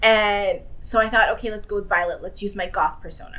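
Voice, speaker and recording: A woman with a bright, sharp tone speaks with lively intonation. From southern Ontario, Canada (Windsor). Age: 40s. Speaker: entrepreneur and chef. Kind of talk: casual interview conversation. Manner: animated.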